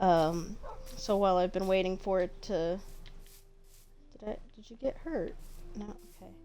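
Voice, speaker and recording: A woman at a medium pitch, with ordinary pitch variation, big swings in loudness, long and frequent pauses, a moderate pace, and audible room echo. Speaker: gaming youtuber. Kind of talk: gameplay commentary. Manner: low-energy.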